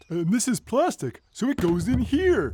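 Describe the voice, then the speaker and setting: A cartoonish character voice with a fairly high pitch delivers its lines in a cheerful tone at a moderate pace. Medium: puppet show. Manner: excitable, cheerful.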